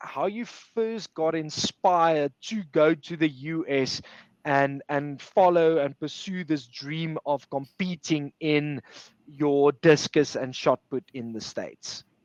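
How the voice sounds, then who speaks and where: Spoken very slowly in an Afrikaans accent, this voice has ordinary pitch variation and a dry, close sound with no echo. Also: man. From Pretoria, South Africa. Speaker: sports recruiter. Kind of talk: webinar interview.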